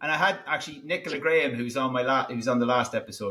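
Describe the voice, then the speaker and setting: A man with an Irish accent speaks at a fairly high pitch in a bright, sharp tone. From Ireland. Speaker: podcast host. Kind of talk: interview.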